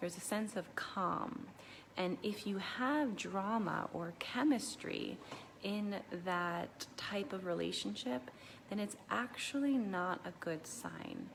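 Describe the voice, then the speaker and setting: A woman with vocal fry speaks at medium pitch and a very slow pace, her intonation lively. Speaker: relationship therapist. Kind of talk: casual talk to camera. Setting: at home at night, children sleeping. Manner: hesitant, many fillers.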